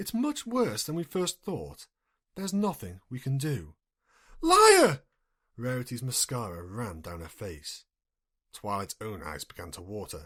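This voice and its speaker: A man at a fairly slow pace and medium pitch, with very wide pitch swings, big swings in loudness, long and frequent pauses, and a very clean recording over a silent background. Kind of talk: audiobook-style fanfiction reading, solo, unedited. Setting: home recording, single voice with no editing. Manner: plain reading, character voices not distinguished.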